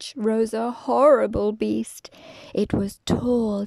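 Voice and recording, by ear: A person reads aloud, using a natural voice.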